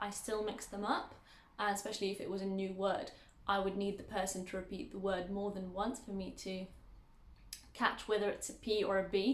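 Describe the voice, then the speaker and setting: Delivered in a British accent with monotone, flat intonation, the speech moves at a fairly quick pace amid audible room echo. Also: woman, medium pitch for a woman. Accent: British English, learned as second language. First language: Arabic. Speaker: language teacher. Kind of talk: tutorial.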